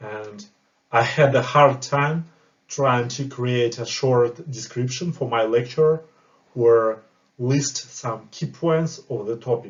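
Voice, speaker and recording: A man with a non-native accent speaks very slowly in a somewhat breathy voice, his pitch rising and falling in an ordinary way. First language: not English. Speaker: project manager and course creator. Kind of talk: tutorial.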